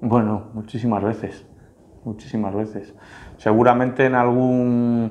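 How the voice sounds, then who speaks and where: A man speaks at a very slow pace. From Spain, Santander (Cantabria); Spain. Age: 30s. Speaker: local politician. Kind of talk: interview answers. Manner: halting, with fillers and repetitions. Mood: relaxed, reflective. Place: office. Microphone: lapel.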